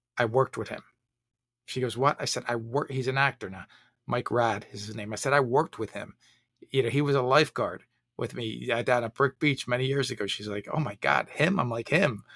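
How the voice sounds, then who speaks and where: In a very clean recording with a silent background and a dry, close sound with no echo, a man with an American accent uses a plain, everyday voice at medium pitch, with ordinary pitch variation, a fairly quick pace and big swings in loudness. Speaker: retired fire chief and leadership author. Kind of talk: casual interview chat.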